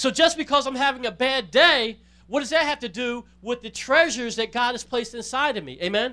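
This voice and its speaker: A man's raised, projected voice, extremely high in pitch, bright and sharp in tone, with ordinary pitch variation and a fairly quick pace. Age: 40s. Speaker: pastor. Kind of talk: sermon.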